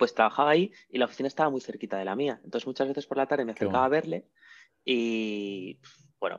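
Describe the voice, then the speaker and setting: The pitch varies in an ordinary way against a quiet background. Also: man. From Spain, León province. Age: 40s. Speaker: entrepreneur. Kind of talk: interview. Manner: halting, with frequent repetitions.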